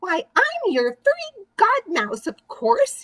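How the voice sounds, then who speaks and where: Using a put-on character voice, a woman speaks at a very slow pace in a squeaky, extremely high pitch with very wide pitch swings. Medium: read story.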